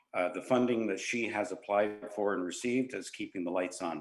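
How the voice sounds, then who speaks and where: A man speaks fairly quickly at a fairly low pitch with ordinary pitch variation. Audible room echo fills the recording. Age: 70s. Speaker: museum volunteer and committee member. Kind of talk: council delegation request. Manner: halting, many fillers.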